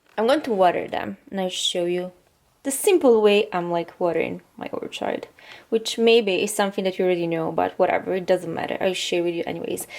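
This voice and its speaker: Speaking at a fairly quick pace, a woman talks with a non-native accent. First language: not English. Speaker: vlogger. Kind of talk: casual tutorial vlog. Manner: halting, many fillers.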